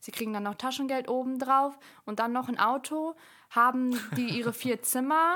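Using an ordinary speaking voice, a woman keeps a moderate pace and ordinary pitch variation. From Germany, Bielefeld. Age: 20s. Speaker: podcaster and student. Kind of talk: casual chat.

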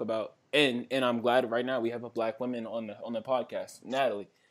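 In an American accent, a man speaks at a moderate pace with a medium pitch and a normal speaking voice. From Washington DC area. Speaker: podcast co-host. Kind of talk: casual chat.

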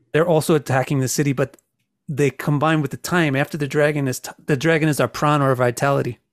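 Recorded very cleanly with a dry, close sound, no echo and a silent background, a man with an American accent talks very fast at a fairly high pitch with fairly even intonation. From United States. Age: 50s. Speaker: astrologer and author. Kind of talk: casual interview.

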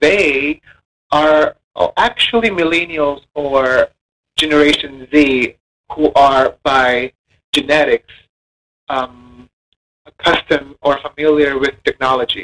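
Very slow pace with long, frequent pauses, a bright, sharp tone, ordinary pitch variation and a dry, close sound with no echo. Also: man, fairly high pitch for a man. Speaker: college lecturer. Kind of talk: monologue.

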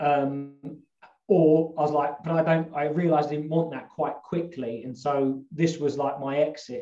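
Speaking at a moderate pace, a man with a fairly high pitch and a dark, mellow tone keeps a fairly even intonation. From London suburbs, England. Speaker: health coach and outdoor instructor. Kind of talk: casual interview chat. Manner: hesitant, many fillers.

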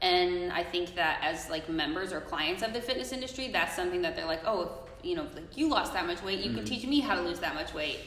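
A woman talking very fast with hardly any pauses and very wide pitch swings, noticeable background noise behind her. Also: fairly low pitch for a woman. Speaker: guest. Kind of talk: casual chat.

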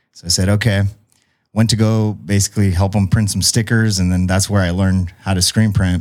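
In a very clean recording with a silent background, a man with an American accent and a very deep, low pitch speaks at a moderate pace with fairly even intonation. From San Diego South Bay, California. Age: 30s. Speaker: screen printing business owner. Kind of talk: casual interview chat. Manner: halting.

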